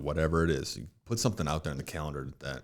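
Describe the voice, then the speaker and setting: Very fast speech comes from a man with a very deep, low pitch and vocal fry, recorded very cleanly against a silent background. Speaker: financial advisor. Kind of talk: casual chat.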